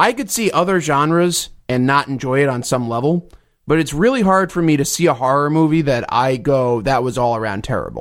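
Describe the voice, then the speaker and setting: An unremarkable speaking voice with an American accent. The recording is very clean, with a silent background. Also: man, fairly high pitch for a man. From New Jersey. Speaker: podcaster. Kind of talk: casual chat. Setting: studio.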